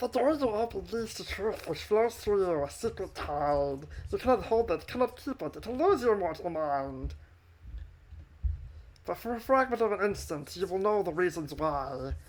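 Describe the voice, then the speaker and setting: A female-sounding voice at a medium pitch does a put-on character voice at a moderate pace. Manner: solemn, cryptic, prophetic.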